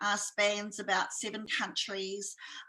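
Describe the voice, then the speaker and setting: A woman's bright, sharp voice, fairly high in pitch, with a New Zealand accent. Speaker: entrepreneur and speaker. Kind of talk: interview.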